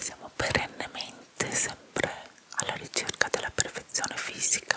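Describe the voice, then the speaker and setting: A woman is whispering, and noticeable noise sits behind her. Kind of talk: ASMR whispering chat about a TV series. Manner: whispered, soft, relaxing.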